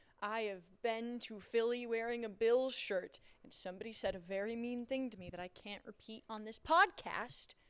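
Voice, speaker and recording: With a New York accent, a woman talks at a moderate pace with hardly any pauses. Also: fairly high pitch for a woman, ordinary pitch variation, big swings in loudness. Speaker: sports reporter and podcast co-host. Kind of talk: casual chat.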